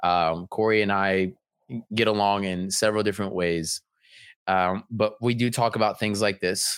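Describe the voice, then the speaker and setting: This man has a normal speaking voice, pitched fairly low and moving at a moderate pace, with a dry, close sound and no echo. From Honduras, raised in US. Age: 20s. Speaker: fitness business owner and mindset coach. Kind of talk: casual interview.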